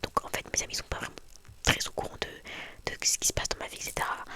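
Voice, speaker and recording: A woman whispers fairly quickly against noticeable background noise. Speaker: ASMR youtuber. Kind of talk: casual chat. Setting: in bed. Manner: fast.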